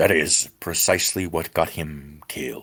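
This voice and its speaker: A man puts on a character voice with a very deep, low pitch. He keeps a moderate pace. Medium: read story. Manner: terse, even, calm.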